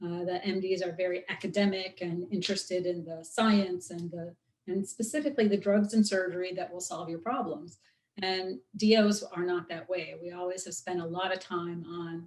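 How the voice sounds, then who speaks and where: A woman speaks in a plain, everyday voice at a medium pitch, her intonation fairly even while her loudness swings widely. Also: moderate pace. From US Midwest, Chicago. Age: 50s. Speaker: osteopathic physician. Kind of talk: guest talk in interview.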